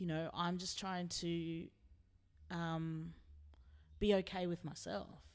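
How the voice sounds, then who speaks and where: In an Australian accent, a woman with a fairly low voice talks very slowly in a flat monotone, leaving long, frequent pauses. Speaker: singer-songwriter. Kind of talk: interview. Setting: backstage at a gig.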